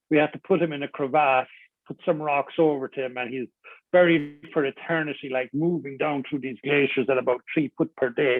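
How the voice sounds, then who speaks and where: A man speaks with a Cork accent. His pitch is fairly high. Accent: Cork Irish. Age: 60s. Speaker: adventurer and motivational speaker. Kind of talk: interview conversation. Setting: radio studio. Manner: animated.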